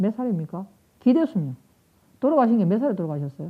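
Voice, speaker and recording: A woman talks at a medium pitch in a somewhat breathy voice. Her pitch swings very widely. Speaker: nursing professor. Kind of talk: lecture. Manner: fast.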